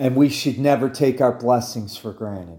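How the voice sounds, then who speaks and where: The dark, mellow tone moves at a moderate pace with ordinary pitch variation, captured on a very clean recording with a silent background. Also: man. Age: 50s. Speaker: podcast host and army veteran. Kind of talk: religious monologue. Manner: halting, with frequent fillers.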